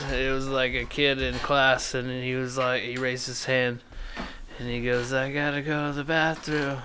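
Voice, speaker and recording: A man's medium-pitched, monotone voice with flat intonation and an American accent, over noticeable background noise. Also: moderate pace. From California. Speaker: podcast host. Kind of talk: episode introduction; casual chat.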